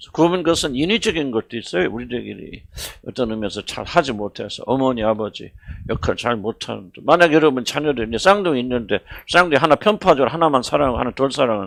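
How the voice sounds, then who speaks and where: At a very fast pace, a man speaks with lively intonation at a medium pitch. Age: 70s. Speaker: senior pastor. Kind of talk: sermon. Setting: church worship service. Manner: conversational, halting with fillers.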